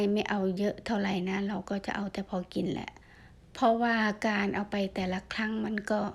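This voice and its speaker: A woman speaks in a medium pitch. Her intonation is fairly even. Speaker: vlogger foraging mushrooms. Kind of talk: casual vlog narration. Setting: outdoors in a forest. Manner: halting.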